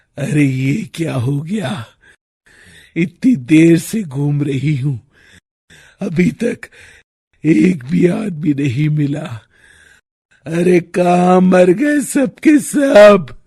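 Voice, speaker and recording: A man performs a cartoonish character voice with a high pitch for a man. He goes at a very slow pace, with long, frequent pauses. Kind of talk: cartoon horror story acting. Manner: threatening, mocking.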